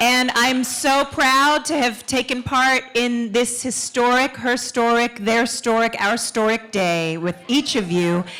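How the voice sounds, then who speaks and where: Against noticeable background noise, a woman talks at a high pitch and a fairly slow pace, with hardly any pauses, ordinary pitch variation and very even loudness. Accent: New York. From Queens, New York. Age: young. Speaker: actor and performer. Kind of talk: stage speech. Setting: stage with audience.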